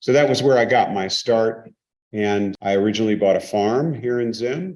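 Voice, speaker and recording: Speaking in a normal speaking voice, a man with an American accent keeps a moderate pace, a medium pitch and ordinary pitch variation. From US West Coast, San Francisco. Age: 60s. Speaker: investor and business executive. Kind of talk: interview.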